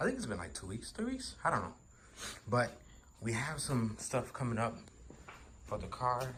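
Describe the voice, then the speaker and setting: A man talks at a moderate pace with long, frequent pauses. Audible room echo surrounds his voice. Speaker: car enthusiast vlogger. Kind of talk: casual vlog tutorial. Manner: whispering, quiet; casual, filler-heavy.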